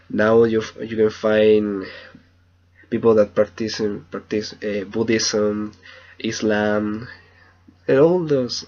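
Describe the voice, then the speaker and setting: A man's fairly low voice with a Spanish accent, very slow with long, frequent pauses, fairly even intonation and big swings in loudness. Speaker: language student. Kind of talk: video journal. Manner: halting.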